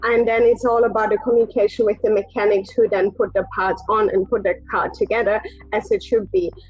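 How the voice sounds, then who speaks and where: Against noticeable background noise, a woman talks at a fairly quick pace with fairly high pitch, ordinary pitch variation and very even loudness. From Germany. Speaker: race engineer. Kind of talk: interview. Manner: hesitant, many fillers.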